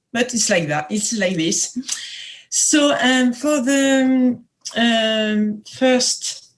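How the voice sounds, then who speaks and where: A woman speaks very slowly with a French accent. Her fairly high voice has lively intonation. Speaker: veterinary epidemiology professor. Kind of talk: lecture. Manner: halting, many hesitations.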